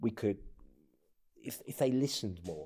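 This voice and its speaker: Speaking with a Greek accent, a man has a dark, mellow tone and ordinary pitch variation. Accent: non-native Greek. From abroad; North Africa, England and US. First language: not Greek. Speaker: presidential candidate. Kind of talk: casual interview conversation. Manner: halting, repeats words.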